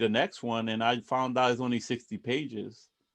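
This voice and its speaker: Against a quiet background, a man speaks at a fairly slow pace with a slight Puerto Rican accent. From Puerto Rico. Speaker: book club organizer. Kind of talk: group discussion on video call. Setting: video call. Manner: halting, many restarts.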